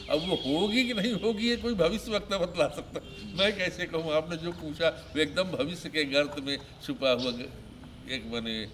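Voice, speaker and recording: Lively, high-pitched speech from a man, with noticeable noise behind it. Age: 70s. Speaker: retired politician. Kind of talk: interview.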